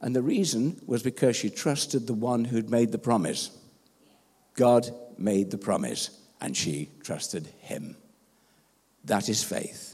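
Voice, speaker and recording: Speaking at a fairly slow pace, a man uses a medium pitch with a dark, mellow tone and vocal fry. His intonation is lively, broken by long, frequent pauses. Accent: English. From England. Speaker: pastor. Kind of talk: sermon.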